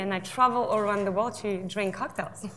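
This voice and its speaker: In a French accent, a woman talks at a fairly quick pace and a medium pitch. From south of France. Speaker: drinks brand ambassador. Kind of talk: panel discussion.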